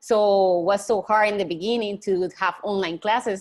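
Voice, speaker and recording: With a Spanish accent, a woman at a medium pitch speaks at a fairly quick pace and a fairly even intonation. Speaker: college student. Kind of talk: online group discussion.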